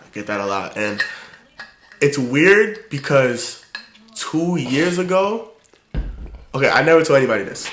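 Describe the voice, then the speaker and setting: A man's voice swings very widely in pitch, with audible room echo and noticeable background noise. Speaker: podcast host. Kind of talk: casual chat. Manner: well-spoken.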